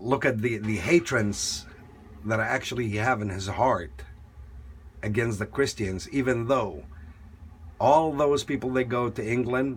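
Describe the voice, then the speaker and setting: Somewhat breathy at a medium pitch, a man speaks at a fairly slow pace with ordinary pitch variation. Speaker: YouTube commentator. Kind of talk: video commentary. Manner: halting, broken English; animated.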